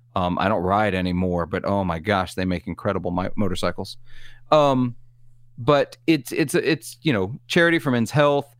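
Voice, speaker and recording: Someone with a Southern US accent talks at a moderate pace on a very clean recording with a silent background. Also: man. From US South. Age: 40s. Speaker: guest co-host and podcaster. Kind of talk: casual chat.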